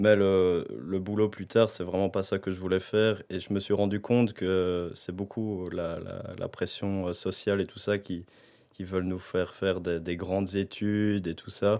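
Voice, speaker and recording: In a very deep, low pitch, a man speaks at a fairly slow pace with monotone, flat intonation. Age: 20s. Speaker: university student. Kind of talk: casual chat.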